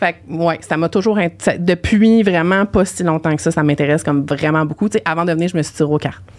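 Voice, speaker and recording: A woman speaks in a Quebec accent with a fairly low pitch and ordinary pitch variation, her tone animated. She talks at a fairly quick pace with hardly any pauses. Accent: Québécois French. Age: 30s. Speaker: podcast guest, team leader and author. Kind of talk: casual chat.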